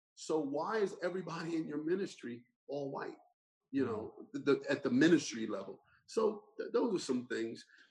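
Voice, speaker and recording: With an American accent, a man speaks at a fairly high pitch with vocal fry. His pitch makes very wide swings. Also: moderate pace. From US Northeast (Burlington Township, New Jersey). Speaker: pastor and lawyer. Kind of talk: interview conversation. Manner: animated storytelling.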